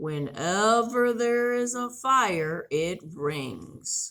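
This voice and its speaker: Using a put-on character voice, a woman at medium pitch speaks very slowly while her pitch swings very widely. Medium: read story. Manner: friendly, proud, explaining.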